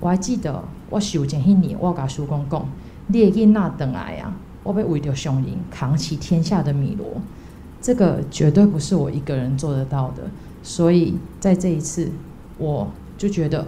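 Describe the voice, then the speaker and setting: In a room with audible echo, a woman with a very deep, low pitch speaks at a moderate pace, using lively intonation and long, frequent pauses. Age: young. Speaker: volunteer. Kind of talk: testimony.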